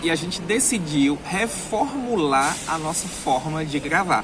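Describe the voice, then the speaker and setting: The intonation is lively, and there is noticeable background noise. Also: man. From Brazilian Northeast. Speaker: travel vlogger. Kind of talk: vlog monologue. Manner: animated, emphatic.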